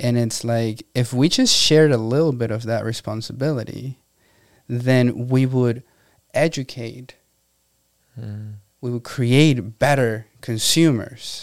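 Speaking with a Spanish accent, a man uses a medium pitch and fairly even intonation at a fairly slow pace. The recording is very clean, with a silent background. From Venezuela. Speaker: entrepreneur. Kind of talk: interview.

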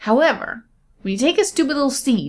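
With vocal fry, a woman speaks in very wide pitch swings. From rural area. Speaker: podcast co-host. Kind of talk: casual chat. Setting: studio. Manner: animated.

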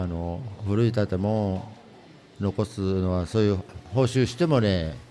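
With a Tottori accent, a man talks at a fairly slow pace in a fairly low pitch, his pitch varying in an ordinary way. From Tottori, Kurayoshi. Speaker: antique shop owner. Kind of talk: interview. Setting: public recording in shopping center.

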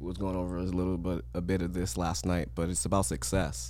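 In an American accent, a man with a very deep, low pitch and a dark, mellow tone speaks at a moderate pace, his pitch swinging very widely, with vocal fry and audible room echo. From US West Coast. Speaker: podcast host. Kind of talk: casual chat.

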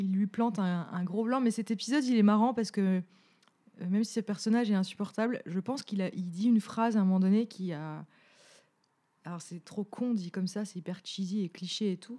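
In a Franche-Comté accent, a woman talks at a fairly quick pace and medium pitch, her tone dark and mellow with ordinary pitch variation. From Franche-Comté, France. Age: 30s. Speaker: podcast co-host. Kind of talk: casual chat.

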